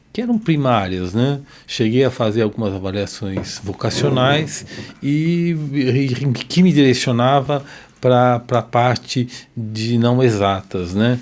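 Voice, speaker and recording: The man's pitch is medium, with ordinary pitch variation. He talks at a very slow pace. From Brazil, São Paulo. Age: 60s. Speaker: cardiologist and medical expert. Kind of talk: podcast interview. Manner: hesitant, many fillers.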